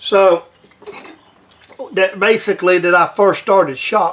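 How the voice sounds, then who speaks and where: A man's high-pitched voice in a Southern US accent, fairly slow, with ordinary pitch variation and noticeable background noise. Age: 60s. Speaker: home machinist. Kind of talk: tutorial. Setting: workshop. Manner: casual, halting.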